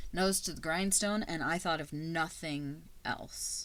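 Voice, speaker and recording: Her pitch very deep and low, a woman talks in an animated tone at a fairly slow pace. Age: 30s. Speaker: podcast host and teacher. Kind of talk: casual personal monologue.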